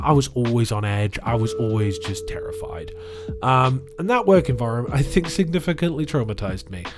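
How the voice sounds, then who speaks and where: With music in the background, a man of medium pitch speaks at a fairly quick pace. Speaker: video blogger. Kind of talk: personal reflection monologue. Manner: halting, many fillers.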